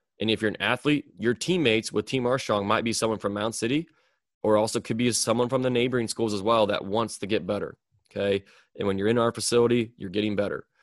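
Over a quiet background, a man talks at a very fast pace with a Midwestern US accent, the sound dry and close with no echo. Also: medium pitch for a man. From US Midwest. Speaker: podcast host and strength coach. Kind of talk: solo podcast monologue. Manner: monotone but excited.

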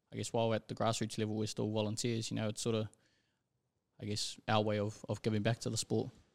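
The speech is very fast and monotone with flat intonation, recorded dry and close with no echo on a very clean recording with a silent background. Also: man. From New Zealand, South Auckland (Manurewa). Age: young. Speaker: rugby league referee. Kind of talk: casual interview.

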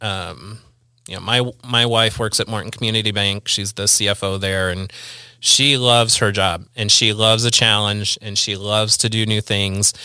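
In a very clean recording with a silent background, a man with a Midwestern US accent speaks at a moderate pace. His fairly low voice has a bright, sharp tone and flat, monotone intonation. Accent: US Midwest. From Central Illinois, Peoria area. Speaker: church volunteer. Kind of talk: casual chat. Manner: halting.

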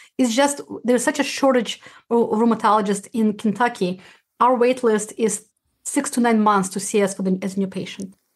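Somewhat breathy, a woman with a Russian accent speaks at a fairly high pitch with ordinary pitch variation against a quiet background. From former Soviet Union (Uzbekistan). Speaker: rheumatologist and podcast host. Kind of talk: interview. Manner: fast talker; halting, frequent restarts.

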